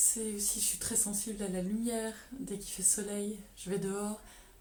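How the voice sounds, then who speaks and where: Against noticeable background noise, a woman speaks at a medium pitch in a flat monotone. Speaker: painter and doctor. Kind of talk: interview answer.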